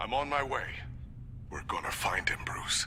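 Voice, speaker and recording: Whispering in a put-on character voice at a moderate pace, a man is heard over loud background noise. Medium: video game.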